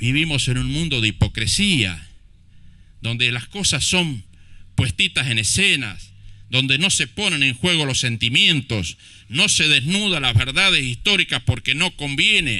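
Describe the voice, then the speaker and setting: Using a bright, sharp tone with vocal fry, a man speaks fairly slowly at a medium pitch with very wide pitch swings. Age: 50s. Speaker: mayor. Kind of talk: public speech at commemoration ceremony. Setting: outdoor public ceremony in a plaza. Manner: impassioned.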